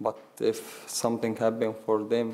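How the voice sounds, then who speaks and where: The voice carries an Arabic accent. Its tone is dark and mellow. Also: man. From Syria. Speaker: war refugee. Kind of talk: panel discussion testimony. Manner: halting.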